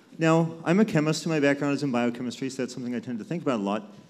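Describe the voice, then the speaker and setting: Talking at a very fast pace, a man with a fairly high pitch uses lively intonation, and audible room echo surrounds his voice. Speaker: audience member asking a question, chemist. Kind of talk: audience question at live panel. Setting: live event with audience. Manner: clear.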